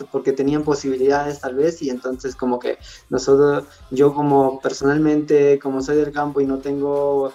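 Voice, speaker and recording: A man's fairly high-pitched voice, monotone and flat, at a moderate pace. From Peru, rural Andes near Cusco. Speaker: content creator. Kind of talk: interview.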